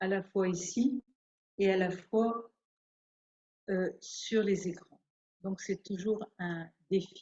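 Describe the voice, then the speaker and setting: Speaking at a medium pitch, a woman sounds somewhat breathy, with fairly even intonation. She goes at a very slow pace, leaving long, frequent pauses. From France. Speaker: nun and theologian. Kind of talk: spiritual talk. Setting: hall with audience and online viewers.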